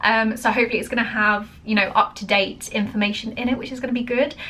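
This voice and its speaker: A woman with an American accent speaks at a fairly quick pace with ordinary pitch variation. Noticeable background noise runs underneath. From England. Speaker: reaction video creator. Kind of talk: casual chat.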